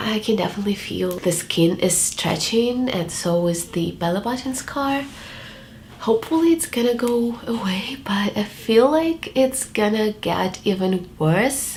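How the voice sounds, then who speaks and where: Noticeable background noise sits behind a woman's fairly high voice. She speaks at a fairly slow pace with lively intonation. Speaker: vlogger. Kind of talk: casual vlog monologue.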